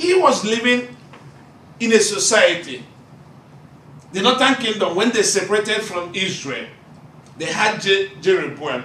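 A raised, projected voice with lively intonation carries over light background noise and audible room echo. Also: man, high pitch for a man. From Nigeria. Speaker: Bible college student preacher. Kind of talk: sermon. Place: classroom. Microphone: camera far.

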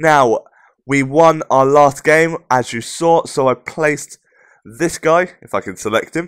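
A man with a British accent speaks at a fairly high pitch. The sound is dry and close with no echo, in a very clean recording with a silent background. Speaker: gaming YouTuber. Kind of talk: gameplay commentary. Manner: casual, upbeat.

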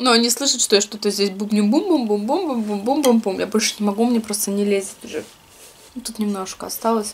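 Speaking at a fairly quick pace, a woman shows ordinary pitch variation. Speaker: food vlogger. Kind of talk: casual vlog chat while eating. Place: home room. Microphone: camera far.

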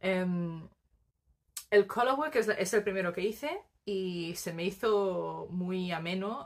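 A woman speaks at a very slow pace with medium pitch and ordinary pitch variation against a quiet background. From Spain, Barcelona; Catalonia, Spain. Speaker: knitting podcaster. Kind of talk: casual monologue to camera; casual vlog chat. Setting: home recording on tripod. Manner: hesitant, many fillers. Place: home room. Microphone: phone near.

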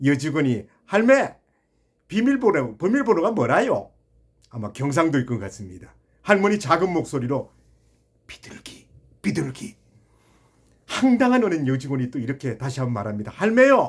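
With very wide pitch swings, a man talks at a fairly high pitch and sounds somewhat breathy. Long pauses come often. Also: moderate pace, big swings in loudness. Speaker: YouTube channel host telling a funny story. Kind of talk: storytelling monologue; direct address to viewers.

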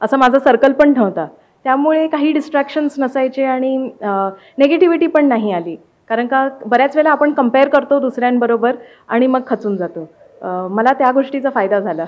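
The woman's voice is pitched high. Her intonation comes across as lively. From Mumbai, Maharashtra. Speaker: civil service exam topper; interviewee. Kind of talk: interview. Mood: calm, pleased. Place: home room. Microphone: handheld.

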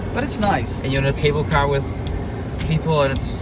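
A man talks at a fairly quick pace in a dry sound with no echo, over loud background noise. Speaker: travel vlogger. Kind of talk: casual vlog chat. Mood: relaxed, cheerful. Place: car.

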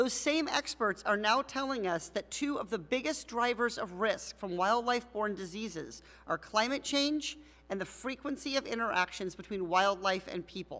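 A woman with a bright, sharp tone talks at a moderate pace. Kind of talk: formal opening statement. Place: hall. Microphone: podium.

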